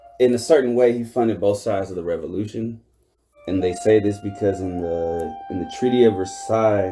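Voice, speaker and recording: Music plays in the background as a man speaks at a fairly low pitch and fairly quick pace with ordinary pitch variation. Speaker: podcast co-host. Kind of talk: casual chat. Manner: mumbling at times.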